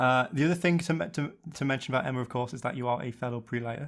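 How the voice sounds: The speech moves at a very fast pace. The tone is fairly bright, with ordinary pitch variation. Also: man, medium pitch for a man.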